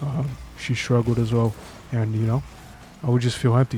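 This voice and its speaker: At a fairly quick pace, a man talks in a medium pitch with monotone, flat intonation. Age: 20s. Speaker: vlogger telling his life story. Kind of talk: personal testimony vlog. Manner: halting, with stumbles and fillers.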